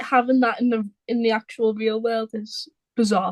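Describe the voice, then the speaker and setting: A woman talks with a Liverpool accent. Her pitch is high. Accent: Liverpool (Scouse), noticeable. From Liverpool, England. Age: 20s. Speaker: small business owner, football artist. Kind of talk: casual chat.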